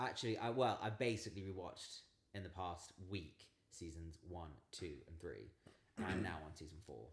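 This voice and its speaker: Audible room echo surrounds a man's voice. His pitch is very deep and low, with ordinary variation. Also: moderate pace, big swings in loudness. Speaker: channel co-host. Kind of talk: casual livestream Q&A chat. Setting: livestream. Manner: loud.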